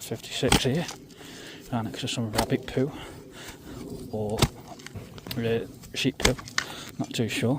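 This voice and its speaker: A man whispers quietly with an East Midlands accent at a fairly slow pace, leaving long, frequent pauses over noticeable background noise. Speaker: metal detecting youtuber. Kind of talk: casual outdoor vlog commentary. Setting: outdoors in a field. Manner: quiet, half-whispered.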